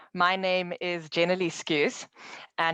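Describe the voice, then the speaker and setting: A woman's fairly low voice in a South African accent, with a dry, close sound and no echo. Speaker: tech company account manager. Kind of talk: online presentation.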